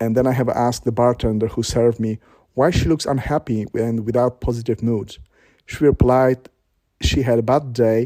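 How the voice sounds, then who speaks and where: In a Polish accent, the speaker delivers a dark, mellow tone at a moderate pace with monotone, flat intonation. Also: man. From Poland. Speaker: vlogger. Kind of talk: personal testimony. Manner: halting.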